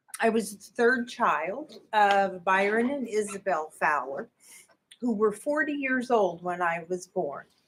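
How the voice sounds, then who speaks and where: A woman with a medium pitch speaks in a Midwestern American accent. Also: lively intonation. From US Midwest, Indianapolis, Indiana. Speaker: church member giving testimony. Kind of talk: testimony.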